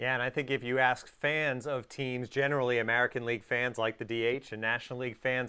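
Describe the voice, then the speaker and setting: The voice has a bright, sharp tone and moves at a very fast pace. The recording is very clean, with a silent background. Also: man. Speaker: podcast host. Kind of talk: casual interview.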